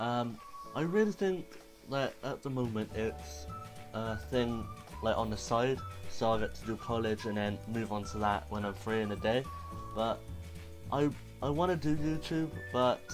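With music in the background, a man talks at a moderate pace with lively intonation and long, frequent pauses. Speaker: vlogger. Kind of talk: casual vlog chat. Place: home room. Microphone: lapel.

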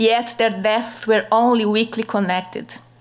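Speaking with a Brazilian accent, a woman has a fairly high pitch and monotone, flat intonation. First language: Portuguese. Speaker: panelist; conference panelist. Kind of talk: conference presentation. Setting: stage with audience. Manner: halting in English. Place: hall. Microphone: podium.

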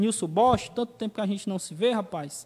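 His pitch is high. This man shows ordinary pitch variation. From Ceará, Brazil. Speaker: web TV show host. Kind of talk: talk show. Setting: studio. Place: studio. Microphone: studio mic.

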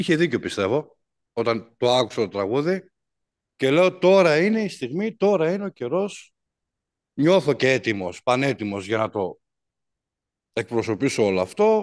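Long, frequent pauses break up a man's fairly slow speech. His pitch swings are very wide, and the background is quiet. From northern Greece, Drama; northern Greece. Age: 40s. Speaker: musician and composer; interviewee. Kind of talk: interview. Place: studio. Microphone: video call.

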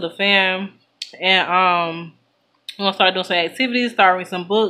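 A woman talks at a middling speed, her intonation flat and monotone. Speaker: mother vlogger. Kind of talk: casual vlog chat. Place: home room. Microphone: phone near.

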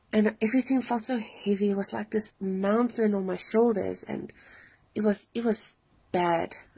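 Over a quiet background, a woman with a dark, mellow, somewhat breathy tone speaks at a moderate pace with fairly even intonation. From South Africa. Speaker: dream testimony sharer. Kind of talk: testimony. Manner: hesitant, many fillers. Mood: earnest, emotional. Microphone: phone near.

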